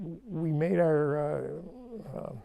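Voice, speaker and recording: A man with a western New York accent, fairly high-pitched, speaking at a very slow pace. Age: 90s. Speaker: local elder. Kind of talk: oral history interview. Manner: halting.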